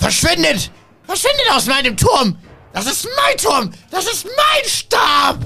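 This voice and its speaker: Shouting in a put-on character voice, a man speaks at a fairly slow pace with an extremely high pitch. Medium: actual play. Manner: pompous, boastful, defensive.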